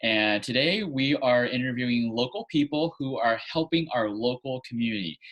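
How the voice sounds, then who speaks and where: A man talks at a moderate pace with hardly any pauses, in a plain, everyday voice. His pitch is medium, with ordinary pitch variation. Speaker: acupuncturist, podcast host. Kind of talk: interview host talk.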